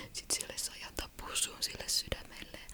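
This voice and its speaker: Noticeable background noise fills the recording. Through it, a woman whispers at a fairly slow pace. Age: 30s. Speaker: ASMR creator. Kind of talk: casual ASMR chat to camera. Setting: studio, close microphone. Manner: whispered, close-mic.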